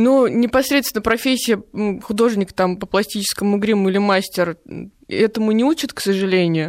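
Moderate in pace and medium in pitch, a woman uses a plain, everyday voice with ordinary pitch variation. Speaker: prosthetic makeup artist. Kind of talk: radio interview. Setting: studio.

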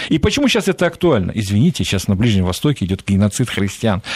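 Over a silent background in a very clean recording, a man races along at a very fast pace with very wide pitch swings. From Central Asia, Fergana Valley. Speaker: Middle East analyst, think tank director. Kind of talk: radio interview.

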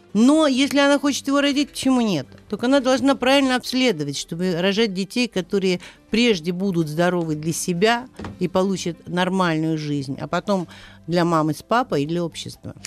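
Her pitch swings very widely around a medium level as this woman speaks. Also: moderate pace. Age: old. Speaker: obstetrician-gynecologist. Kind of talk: radio interview.

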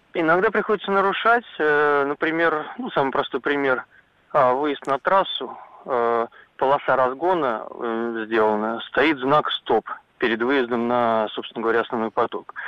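A man with a normal speaking voice and fairly high pitch talks at a fairly slow pace with lively intonation. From Zhukovsky, Moscow region. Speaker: caller. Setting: phone call.

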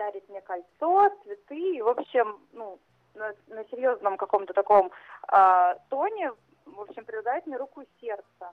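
An ordinary speaking voice at a fairly slow pace, with lively intonation and big swings in loudness. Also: woman, fairly high pitch for a woman. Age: 30s. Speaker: caller. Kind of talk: phone-in confession.

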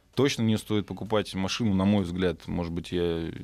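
A man speaks with a very deep, low pitch. His intonation is fairly even and his pace moderate. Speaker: car service expert. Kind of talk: radio interview, casual expert talk. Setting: radio studio.

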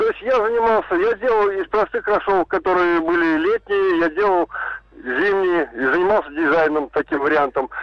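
The voice moves at a moderate pace with ordinary pitch variation and very even loudness. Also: man, high pitch for a man. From Ulyanovsk, Russia. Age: 50s. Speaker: radio caller. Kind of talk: phone-in storytelling.

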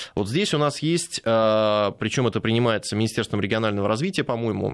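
A man speaks in an unremarkable speaking voice at medium pitch. He keeps a moderate pace with lively intonation. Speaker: lawyer. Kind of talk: radio interview. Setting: studio.

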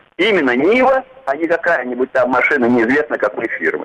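Noticeable noise runs in the background. Over it, a man speaks at a fairly quick pace. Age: old. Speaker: caller, former tank soldier. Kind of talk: phone-in comment. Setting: phone call.

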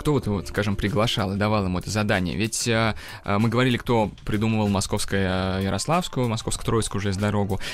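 A man speaks in a normal speaking voice. His pitch is fairly low and his pace fairly quick. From Russia, Kazan. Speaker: engineer and tour guide. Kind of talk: educational radio interview.

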